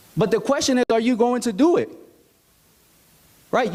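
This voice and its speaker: A man with an American accent, extremely high pitch and ordinary pitch variation. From United States. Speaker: motivational speaker. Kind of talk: motivational talk. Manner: animated.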